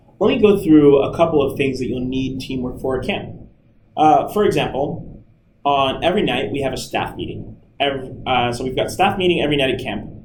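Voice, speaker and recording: Energetic in tone, a man talks at a fairly quick pace with ordinary pitch variation, and audible room echo surrounds his voice. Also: fairly high pitch for a man. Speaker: camp staff trainer. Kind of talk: recorded training talk. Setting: screen recording with webcam. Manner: loud; casual, energetic.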